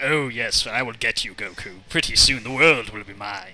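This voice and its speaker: A man uses a put-on character voice. His pitch sits at a medium level. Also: moderate pace. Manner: cold, menacing, devious.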